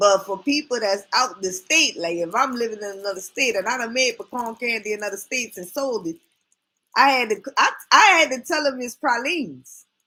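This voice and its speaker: In a New Orleans accent, a woman with a fairly high pitch talks at a moderate pace, animated, with lively intonation and a bright, sharp tone. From New Orleans, Louisiana. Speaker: YouTube live streamer. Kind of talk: casual live stream chat.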